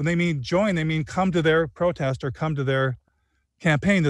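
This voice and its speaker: A man talks at a fairly quick pace with ordinary pitch variation, the sound dry with no echo and the background quiet. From Michigan (Flint area); Michigan. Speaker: documentary filmmaker; guest. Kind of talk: interview conversation. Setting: outdoors under a tree. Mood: earnest, animated. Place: garden. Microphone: video call.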